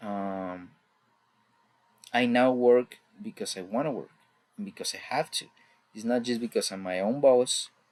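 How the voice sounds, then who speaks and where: With a Mexican accent, the speaker uses lively intonation, loudness that swings widely, and long, frequent pauses. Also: man, medium pitch for a man, moderate pace. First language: Spanish. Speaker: student. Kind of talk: class presentation. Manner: halting.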